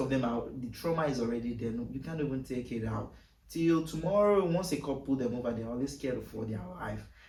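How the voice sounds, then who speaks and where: Amid noticeable background noise and audible room echo, a man with an African accent talks at a fairly quick pace with hardly any pauses. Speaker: podcast guest. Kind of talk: casual chat.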